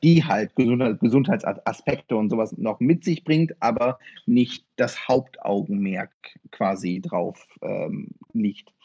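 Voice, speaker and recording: A man speaks at a very slow pace. His pitch sits in the middle range and swings very widely. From northern Germany, Osnabrück. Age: 30s. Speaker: martial arts practitioner. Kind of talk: interview. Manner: halting, many fillers.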